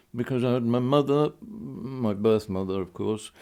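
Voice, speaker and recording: In a very clean recording with a silent background, a man with a dark, mellow tone talks fairly slowly at a medium pitch with ordinary pitch variation. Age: 80s+. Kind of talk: interview answer.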